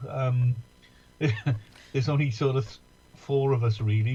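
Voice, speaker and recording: With an English accent, a man speaks in a medium pitch and a dark, mellow tone, somewhat breathy and monotone with flat intonation. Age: 60s. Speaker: musician. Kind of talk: casual chat. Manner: halting.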